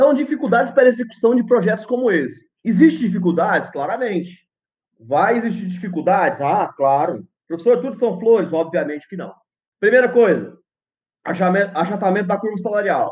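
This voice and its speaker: A man talks at a high pitch and moderate pace with lively intonation. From Brazil, Goiás. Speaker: physics professor. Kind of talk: lecture.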